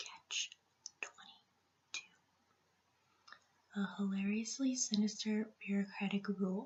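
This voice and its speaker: At a moderate pace, a woman with a medium pitch speaks in a monotone, flat way that is somewhat breathy. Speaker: teacher (roleplay). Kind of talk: ASMR roleplay, soft-spoken personal attention. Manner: soft-spoken, quiet.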